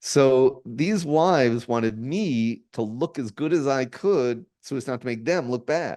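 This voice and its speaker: A man's dark, mellow voice at a fairly slow pace, with ordinary pitch variation and hardly any pauses. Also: medium pitch for a man. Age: 60s. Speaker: entrepreneur and presidential candidate. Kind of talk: casual chat. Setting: podcast interview. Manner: halting, repeats words.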